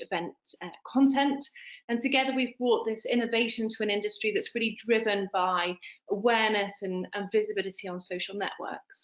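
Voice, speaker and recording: A woman's fairly high voice, with ordinary pitch variation and a fairly quick pace. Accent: strong British. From United Kingdom. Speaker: product representative. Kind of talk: business webinar presentation. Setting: online webinar.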